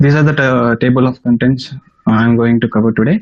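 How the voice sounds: A man speaks at a fairly quick pace with medium pitch and fairly even intonation.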